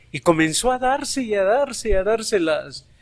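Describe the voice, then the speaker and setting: A man is speaking. His pace is fairly slow. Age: 60s. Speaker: schoolteacher. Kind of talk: interview testimony.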